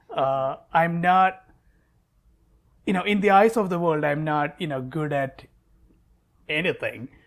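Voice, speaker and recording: With a Keralan accent, a man talks at a high pitch and a fairly slow pace, with ordinary pitch variation and long, frequent pauses. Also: very clean recording, silent background. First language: Malayalam. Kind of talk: interview. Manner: hesitant, repeats words.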